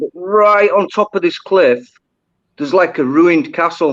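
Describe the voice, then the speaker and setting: A high-pitched man's voice with a Yorkshire accent and lively intonation. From Yorkshire, northern England. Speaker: diver. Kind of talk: casual chat.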